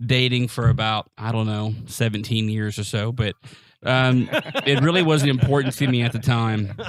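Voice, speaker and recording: In a very clean recording with a silent background, a man talks at a fairly slow pace with ordinary pitch variation. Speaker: amateur stand-up comedian. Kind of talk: stand-up.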